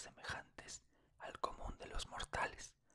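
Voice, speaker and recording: Whispering in a calm tone, a man speaks at a fairly slow pace. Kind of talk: whispered literary reading of a horror short story. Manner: whispered, calm, relaxing.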